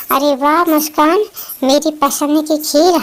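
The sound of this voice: In a squeaky, cartoonish character voice, a woman talks at a fairly slow pace with a high pitch and monotone, flat intonation.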